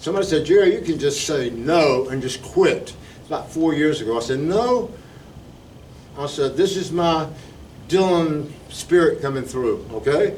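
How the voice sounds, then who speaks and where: In a South Carolina accent, a man with a fairly high voice speaks at a moderate pace with lively intonation and big swings in loudness, amid audible room echo. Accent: Southern US (South Carolina). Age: 70s. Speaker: retired teacher, local preservation volunteer. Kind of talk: talk at a community meeting. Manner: informal, conversational.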